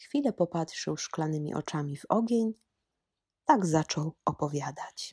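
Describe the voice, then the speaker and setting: On a very clean recording with a silent background and a dry, close sound with no echo, a woman speaks at a fairly slow pace in a fairly low, somewhat breathy voice with lively intonation. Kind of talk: storytelling in highland dialect, read-aloud folk tale. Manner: old mountain storyteller voice, slow, animated, dialect-coloured.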